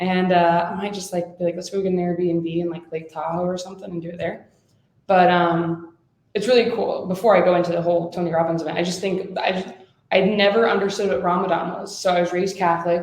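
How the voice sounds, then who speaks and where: Very fast, fairly low-pitched female voice in a monotone, flat intonation, with audible room echo. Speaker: podcast co-host. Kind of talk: casual chat. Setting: in person together. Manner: fast talker.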